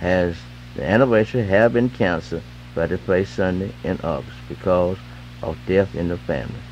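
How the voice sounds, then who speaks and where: Over music in the background, a man with an American accent and a very deep, low pitch speaks at a moderate pace with very wide pitch swings. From Eastern North Carolina. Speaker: radio DJ. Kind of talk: gospel radio DJ patter and live ad reads. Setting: AM radio broadcast. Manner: loose, slurred enunciation. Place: studio. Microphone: old recording.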